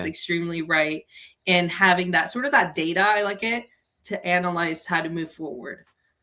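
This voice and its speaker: Speaking at a moderate pace, a woman with a fairly low pitch uses a bright, sharp, energetic tone and ordinary pitch variation. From Colombia. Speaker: business coach. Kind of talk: podcast interview answer.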